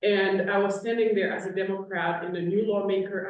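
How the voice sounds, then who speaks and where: A woman with a Haitian accent, medium pitch, moderate pace. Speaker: state legislator. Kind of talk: panel discussion.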